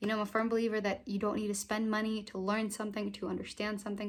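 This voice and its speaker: A very fast pace in a very clean recording with a silent background. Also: woman. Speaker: book vlogger. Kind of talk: casual chat. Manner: animated.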